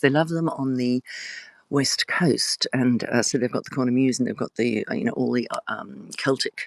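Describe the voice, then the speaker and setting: A woman with an Australian accent talks at a fairly quick pace in a dry, close sound with no echo. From Australia (Tasmania). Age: 60s. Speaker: author. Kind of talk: casual live stream chat. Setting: live video stream. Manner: chatty, digressive with fillers.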